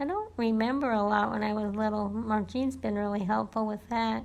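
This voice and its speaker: Fairly high in pitch, a woman speaks with an American accent. Her intonation stays fairly even. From California, US. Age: 60s. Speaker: family member interviewed about her life. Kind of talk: oral history interview.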